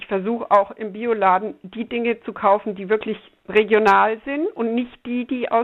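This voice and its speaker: Fairly even intonation and a moderate pace mark an ordinary speaking voice. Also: woman. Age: 60s. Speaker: climate activist grandmother. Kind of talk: interview.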